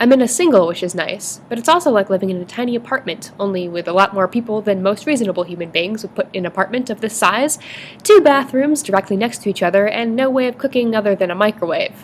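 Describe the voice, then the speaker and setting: A woman's fairly high voice, very fast pace and lively intonation, with noticeable background noise. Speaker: college student. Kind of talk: vlog narration.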